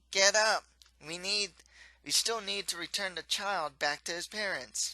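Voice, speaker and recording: A put-on character voice at a middle pitch moves along at a moderate pace. The background is quiet. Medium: read story.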